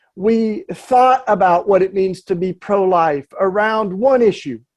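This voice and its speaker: Against a quiet background, a man with a Southern accent talks at a fairly slow pace with ordinary pitch variation. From US South, East Tennessee. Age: 40s. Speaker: activist and speaker. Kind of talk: talk at a church panel. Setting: church event.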